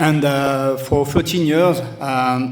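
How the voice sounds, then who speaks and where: A man with a French accent speaks at a fairly high pitch in a flat monotone. Audible room echo surrounds his voice. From France, Toulouse. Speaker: football club director. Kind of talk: speech at event. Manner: halting.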